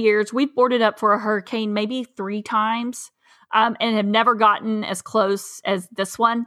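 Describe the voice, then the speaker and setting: A woman speaks in a Southern US accent. Her pace is moderate. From East Tennessee. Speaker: farmer. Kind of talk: casual chat.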